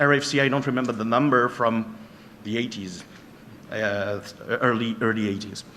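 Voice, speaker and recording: A man with a French accent talks in a space with audible room echo. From France. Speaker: penetration tester and trainer. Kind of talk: conference talk. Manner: halting.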